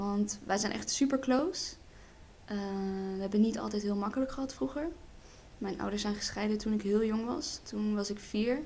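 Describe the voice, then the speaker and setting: A woman speaks at medium pitch and a moderate pace with ordinary pitch variation. There is audible room echo. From Netherlands. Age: 20s. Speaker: hairdressing student and model. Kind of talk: casual chat.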